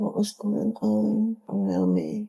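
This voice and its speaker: Her pace is very slow as the woman speaks. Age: 70s. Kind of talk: personal testimony. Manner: halting.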